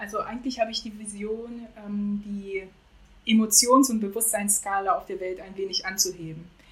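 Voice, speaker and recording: Her intonation fairly even, a woman with a fairly high, somewhat breathy voice speaks with big swings in loudness. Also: moderate pace. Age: 40s. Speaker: civil servant and founder of a courage movement. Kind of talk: casual interview. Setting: remote call from Jamaica.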